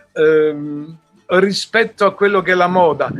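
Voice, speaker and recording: A man's high-pitched voice comes through with music playing behind it. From Italy. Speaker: musician. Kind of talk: interview answer.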